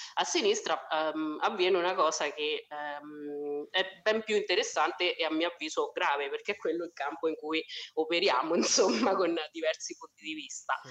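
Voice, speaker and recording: Speaking with a strong Umbrian accent, a woman uses a fairly low pitch with ordinary variation at a moderate pace. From Umbria, Italy (Spello, near Assisi). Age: 30s. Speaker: social worker. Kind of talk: casual chat.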